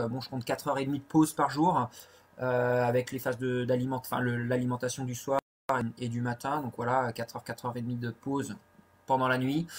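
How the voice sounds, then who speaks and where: This voice belongs to a man. His pitch sits in the medium range. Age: 40s. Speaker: ultra-trail runner. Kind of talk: live Q&A. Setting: Facebook live video. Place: home room. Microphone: webcam.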